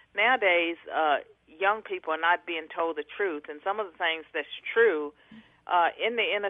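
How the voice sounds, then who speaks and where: Someone talks in a plain, everyday voice at a moderate pace, with ordinary pitch variation. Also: woman. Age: 60s. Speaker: author and academic. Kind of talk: radio interview.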